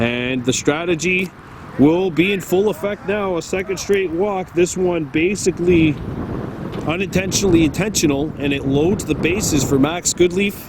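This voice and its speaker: A man speaks loudly at a moderate pace in a high pitch. Noticeable background noise runs behind him. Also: ordinary pitch variation. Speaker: baseball play-by-play commentator. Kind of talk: live commentary. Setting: outdoors at a ballfield.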